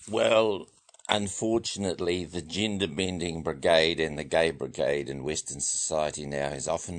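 Vocal fry runs through this moderately paced speech in a New Zealand accent. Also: man. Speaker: men's rights activist. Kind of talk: radio interview. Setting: studio.

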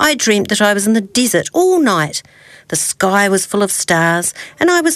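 Text is read aloud here in a natural voice.

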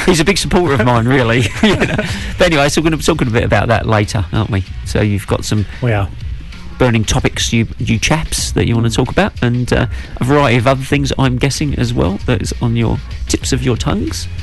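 A man speaks at a fairly quick pace with a medium pitch and very wide pitch swings. Music plays in the background. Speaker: radio show co-host. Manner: loud.

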